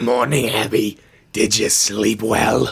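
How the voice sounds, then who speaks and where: A man in a raspy, put-on character voice, medium in pitch, with fairly even intonation and a fairly slow pace. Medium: audio drama. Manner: warm, reassuring.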